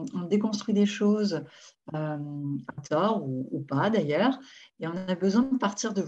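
Here a woman talks at a fairly slow pace, somewhat breathy. Her pitch varies in an ordinary way. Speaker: therapist hosting online session. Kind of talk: webinar introduction. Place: home room. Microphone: video call.

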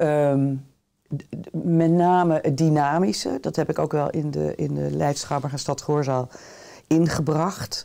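A woman's very deep, low voice with a dark, mellow tone, at a very slow pace over a quiet background. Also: ordinary pitch variation. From Netherlands, The Hague; Netherlands. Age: 60s. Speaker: theatre director; interview guest. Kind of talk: interview. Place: studio.

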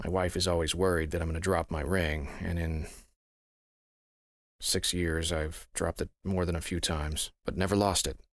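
A man's very deep, low voice at a moderate pace with fairly even intonation, a dry sound with no echo, and a quiet background. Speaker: voice actor. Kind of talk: casual talk to camera. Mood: calm, slightly mysterious. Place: studio.

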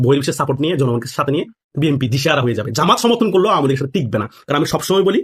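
Lively intonation marks this man's speech. His somewhat breathy voice sits fairly high. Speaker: political commentator. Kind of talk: political commentary. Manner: animated.

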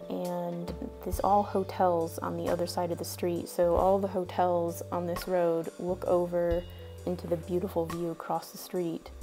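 A woman talks at a fairly slow pace over clear music in the background. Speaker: travel vlogger. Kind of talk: casual travel commentary. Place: bus. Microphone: phone near.

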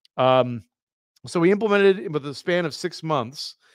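The man has an unremarkable speaking voice, moving at a moderate pace with ordinary pitch variation in a dry, close sound with no echo. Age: 30s. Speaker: software company founder and open source project lead. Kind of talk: live-streamed retrospective presentation. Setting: live video stream.

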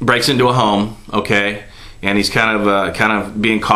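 Reading aloud in an unforced reading voice, the speaker keeps the intonation fairly even.

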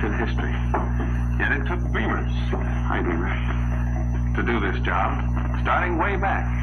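A man speaking with music in the background. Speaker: presenter. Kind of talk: scripted promotional presentation. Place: studio.

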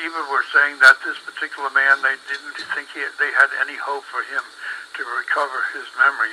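A moderate pace with big swings in loudness over noticeable background noise. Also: man. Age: 80s+. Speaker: former radio director. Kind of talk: interview answer.

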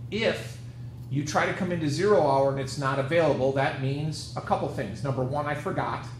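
A fairly high-pitched man talks fairly quickly with ordinary pitch variation, noticeable background noise behind him. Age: 50s. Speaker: high school math teacher. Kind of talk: lecture. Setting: video call. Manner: casual.

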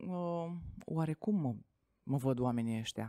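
A woman speaks with a dark, mellow tone and very wide pitch swings, her dry sound carrying no echo over a quiet background. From Romania, Tecuci, Galați county; Romania. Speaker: network marketing entrepreneur; podcast guest. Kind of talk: interview. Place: studio. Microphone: studio mic.

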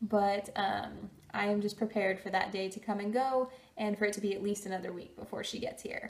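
Somewhat breathy, the voice moves at a fairly quick pace with fairly even intonation. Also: woman. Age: 20s. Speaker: vlogger. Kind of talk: casual talk to camera. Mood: cheerful, upbeat. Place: home room.

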